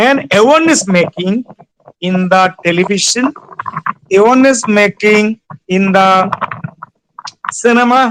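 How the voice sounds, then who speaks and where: Speaking at a very slow pace with a Bengali accent, a high-pitched man uses ordinary pitch variation in a dry, close sound with no echo. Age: 60s. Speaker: retired civil servant. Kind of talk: webinar lecture.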